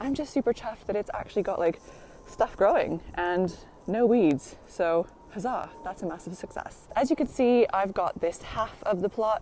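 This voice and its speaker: A woman with an American accent speaks at a moderate pace and medium pitch. Her intonation is lively, and noticeable background noise is present. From United States. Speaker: allotment vlogger. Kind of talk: casual vlog tour. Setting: outdoors in the rain. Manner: chatty, lots of fillers.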